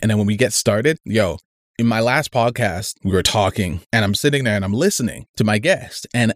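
On a very clean recording with a silent background, a man with a plain, everyday voice speaks fairly quickly at a fairly low pitch with ordinary pitch variation. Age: 30s. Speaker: podcast host. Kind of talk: solo casual monologue.

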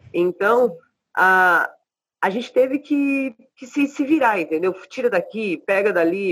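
This woman's voice sits at a medium pitch with ordinary pitch variation. She talks at a fairly slow pace. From Brazil. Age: 40s. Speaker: rapper. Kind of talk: casual interview.

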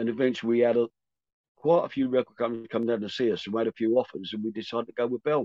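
Very fast and fairly even in intonation, a man delivers his words at a medium pitch. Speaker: rock singer. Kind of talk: casual interview chat.

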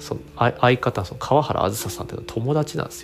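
With noticeable background noise around him, a man speaks in a relaxed tone with very wide pitch swings. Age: 40s. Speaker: toy creator and podcaster. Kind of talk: solo podcast monologue. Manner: relaxed, rambling with fillers.

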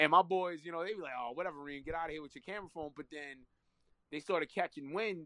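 In a New York accent, a man talks at a very fast pace with an energetic tone and a fairly high pitch. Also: ordinary pitch variation. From New York, Queens. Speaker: content creator. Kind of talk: casual interview.

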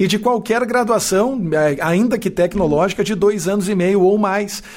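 Moderate pace, lively intonation and high pitch in a man's speech. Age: 40s. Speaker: university professor and podcast host. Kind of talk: casual interview conversation. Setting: live stream video.

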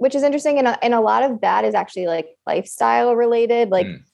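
A woman speaks with an American accent at a very fast pace. Her pitch is high. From upstate New York. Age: 20s. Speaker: fertility nurse. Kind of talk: casual chat.

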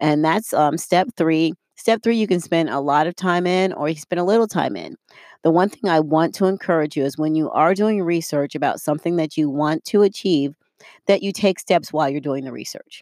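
A woman's fairly low pitch in an ordinary speaking voice, fairly quick pace and ordinary pitch variation, on a very clean recording with a silent background and a dry, close sound with no echo. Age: 50s. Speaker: life coach podcast host. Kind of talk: solo motivational talk. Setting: studio. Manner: casual, with frequent fillers.

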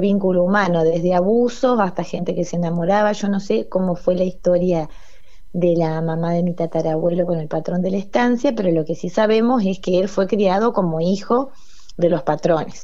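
A woman at medium pitch is heard with audible echo from the room. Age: 40s. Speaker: cultural organization coordinator. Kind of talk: radio interview. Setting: phone call.

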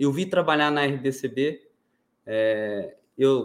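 An unremarkable speaking voice from a man at medium pitch, with ordinary pitch variation, on a very clean recording with a silent background. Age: 20s. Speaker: fintech founder. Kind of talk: interview. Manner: formal.

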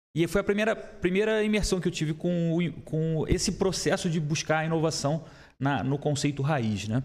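A man's plain, everyday voice, fairly high in pitch with ordinary pitch variation, at a moderate pace. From Rio de Janeiro. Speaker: entrepreneur, startup founder. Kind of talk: casual chat.

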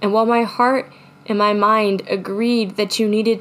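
A fairly slow, medium-pitched woman's voice with fairly even intonation. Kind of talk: spoken word poem, confessional heartbreak piece. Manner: intimate, heartfelt, building from wry resignation to raw, pleading emotion; halting, repeating phrases as if fighting tears.

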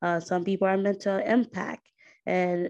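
At a moderate pace and against a quiet background, a woman with an unremarkable speaking voice talks at a fairly low pitch with fairly even intonation. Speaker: podcast host. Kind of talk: interview.

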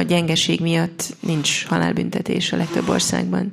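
The woman talks at an unhurried, middling speed. Clear background noise can be heard behind her. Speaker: interpreter. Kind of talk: consecutive interpretation.

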